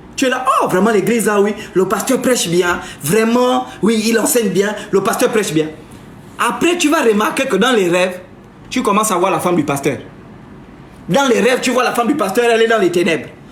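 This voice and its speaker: A man with a high voice talks at a moderate pace in an animated tone, his intonation lively, with long, frequent pauses, audible room echo and noticeable background noise. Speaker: live streamer, spiritual commentator. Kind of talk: live stream monologue. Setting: live stream.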